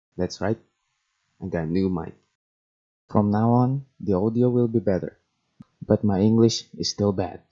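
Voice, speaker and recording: A man with a non-native accent speaks at a moderate pace, his fairly low voice dark and mellow in tone. His pitch varies in an ordinary way, and he takes long, frequent pauses. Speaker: gaming video creator. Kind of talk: scripted narration.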